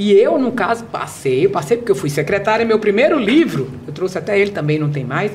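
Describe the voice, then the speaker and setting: Talking fairly quickly with hardly any pauses, a woman sounds animated, her pitch swinging very widely over noticeable background noise. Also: medium pitch for a woman. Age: 60s. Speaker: behavioral speaker and author. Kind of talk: podcast interview.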